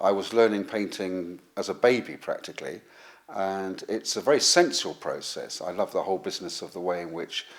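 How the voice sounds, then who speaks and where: A man speaks at a fairly quick pace with a southern English accent. His loudness swings widely. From southern England. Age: 50s. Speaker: watercolour painter and teacher. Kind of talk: painting demonstration; interview.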